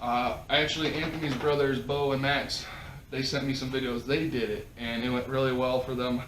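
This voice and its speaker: Fairly quick, monotone, flat speech in a Minnesota accent, with audible room echo and noticeable background noise. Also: man, medium pitch for a man. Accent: Midwest, Minnesota-like. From South Dakota, near Minnesota border. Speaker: podcast host. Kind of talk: casual chat.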